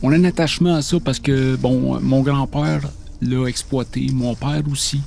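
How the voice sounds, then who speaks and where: An ordinary speaking voice, delivered at a fairly slow pace with ordinary pitch variation. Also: man, medium pitch for a man. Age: 60s. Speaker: maple syrup producer. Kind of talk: interview testimony.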